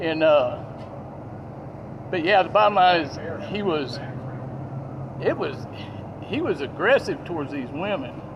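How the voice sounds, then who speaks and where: Over noticeable background noise, a man with a Southern US accent talks at a fairly slow pace and a high pitch, his intonation lively and his pauses long and frequent. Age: 60s. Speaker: witness at a scene. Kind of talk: statement to police. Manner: halting.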